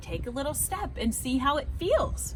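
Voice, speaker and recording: A woman puts on a character voice against clear background noise. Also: moderate pace. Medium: read story.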